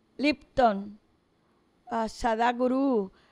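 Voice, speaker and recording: A woman speaks in a fairly high voice. The background is quiet. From Puerto Rico, Aguadilla; Puerto Rico. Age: 70s. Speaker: school teacher; teacher being interviewed. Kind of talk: interview. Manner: animated. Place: studio. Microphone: studio mic.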